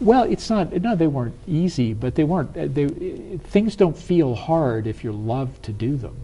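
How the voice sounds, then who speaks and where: Hardly pausing, a man with an American accent speaks at a fairly high pitch with very wide pitch swings. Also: moderate pace. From US South. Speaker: business strategist. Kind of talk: interview.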